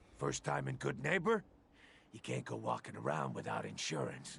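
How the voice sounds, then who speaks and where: A man puts on a character voice that is raspy and very deep in pitch. He keeps a moderate pace. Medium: video game.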